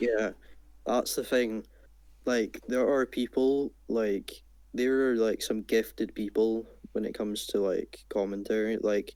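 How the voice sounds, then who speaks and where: A man with a Scottish accent talks at a fairly slow pace. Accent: Scottish, clear. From Scotland. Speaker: small gaming youtuber. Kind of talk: casual chat. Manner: well-spoken, clear.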